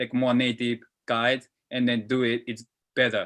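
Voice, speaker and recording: A man with a Japanese accent, medium pitch, a bright, sharp tone and a fairly slow pace, on a very clean recording with a silent background. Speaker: football interpreter. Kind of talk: panel talk answering a question. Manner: halting, many fillers.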